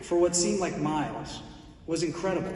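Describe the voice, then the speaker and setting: Speaking at a fairly quick pace with ordinary pitch variation, a man is heard through audible room echo and noticeable background noise. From Italy, then Houston, Texas from age eight. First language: Italian. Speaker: corporate executive presenting a speaker at a charity event. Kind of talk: prepared introduction speech.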